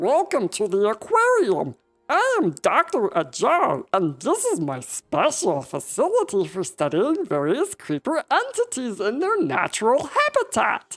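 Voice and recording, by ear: In a squeaky, high-pitched, put-on character voice, the speaker talks at a moderate pace. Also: hardly any pauses.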